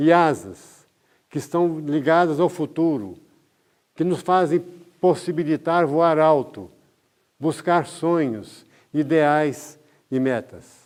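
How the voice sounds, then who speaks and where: With ordinary pitch variation, a man talks at a very slow pace with long, frequent pauses on a very clean recording with a silent background. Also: fairly high pitch for a man. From Brazil, interior of Minas Gerais. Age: 80s+. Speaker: doctor giving a talk. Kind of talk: lecture.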